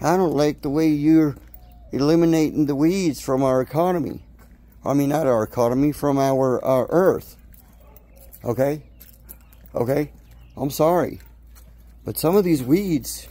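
A man speaks at a moderate pace in a dark, mellow tone, leaving long, frequent pauses. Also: ordinary pitch variation. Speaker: home gardener vlogger. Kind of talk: casual vlog chat. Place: garden. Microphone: phone near.

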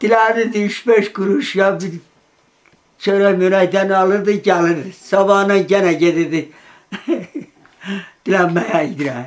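A man's high-pitched voice with fairly even intonation, a very slow pace and long, frequent pauses. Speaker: eyewitness. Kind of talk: interview testimony.

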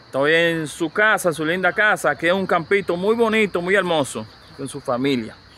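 At a moderate pace, a man speaks with a high pitch and lively intonation, the sound dry with no echo and light background noise behind it. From Dominican Republic. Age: 50s. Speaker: YouTuber interviewer. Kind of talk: casual interview. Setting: outdoors at a rural home. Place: farm.

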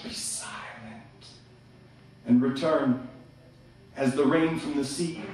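A man with a fairly high pitch and ordinary pitch variation speaks at a very slow pace, leaving long, frequent pauses. His loudness swings widely, and the room adds strong echo. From Canada. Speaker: slam poet. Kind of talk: live slam poetry performance. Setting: live venue with audience. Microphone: camera far.

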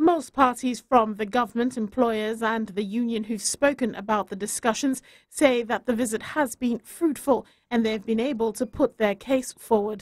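A woman's plain, everyday voice, fairly high in pitch, at a moderate pace with fairly even intonation. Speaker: news reporter. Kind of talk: news report.

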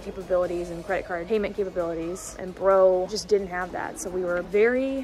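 Clear music plays in the background as a woman speaks at a moderate pace with fairly even intonation, the sound dry with no echo. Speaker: travel vlogger. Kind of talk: casual vlog chat. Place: station. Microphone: phone near.

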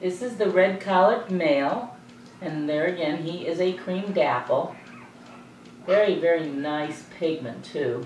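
Through audible room echo and light background noise, a woman with a fairly low pitch speaks fairly slowly with lively intonation. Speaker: dog breeder. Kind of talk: sales pitch. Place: home room.

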